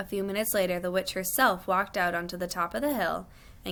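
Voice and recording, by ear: Fairly even intonation marks this natural reading-aloud voice.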